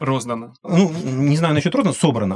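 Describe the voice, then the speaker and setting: This man has a normal speaking voice with a fairly high pitch. His intonation is lively. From Ukraine, Luhansk. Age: 40s. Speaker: game designer, former economics lecturer. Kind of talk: podcast interview.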